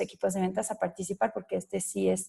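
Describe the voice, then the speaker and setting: The voice belongs to a woman. She speaks in a French accent. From France. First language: French (speaking Spanish). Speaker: sales director presenting a webinar. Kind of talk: business webinar presentation. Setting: online webinar. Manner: hesitant, frequent fillers.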